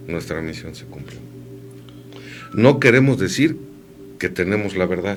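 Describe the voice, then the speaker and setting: Over music in the background and audible room echo, a man with a fairly low pitch talks at a fairly slow pace, with very wide pitch swings, big swings in loudness, and long, frequent pauses. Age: 50s. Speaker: radio host. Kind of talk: casual chat.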